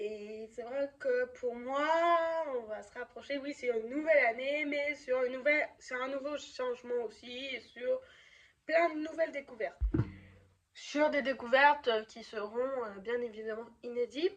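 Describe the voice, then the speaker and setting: Her high pitch showing ordinary variation, a woman speaks at a fairly slow pace with big swings in loudness. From France, Lyon. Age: 20s. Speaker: youtuber, student. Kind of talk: vlog. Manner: halting, many fillers.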